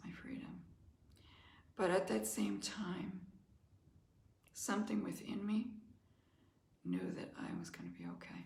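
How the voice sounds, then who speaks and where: Speaking at a fairly slow pace with long, frequent pauses, a woman is heard in a room with audible echo. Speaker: life coach. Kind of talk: testimony. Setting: live online masterclass.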